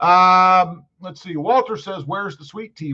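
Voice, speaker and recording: A man talks loudly at a moderate pace. His pitch is high. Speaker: truck youtuber live streamer. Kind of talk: live stream chat reading comments. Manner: loud, projecting.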